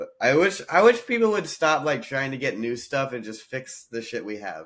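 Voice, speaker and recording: With music in the background, a man with an American accent speaks at a medium pitch and a moderate pace, his pitch swinging very widely. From US South. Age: 20s. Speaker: comedian. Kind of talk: casual chat.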